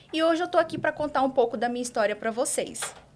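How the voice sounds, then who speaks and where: A woman is speaking. She has a Maranhão accent. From Brazil, Imperatriz, Maranhão. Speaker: doctor and exam-prep teacher. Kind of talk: podcast interview. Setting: live podcast studio.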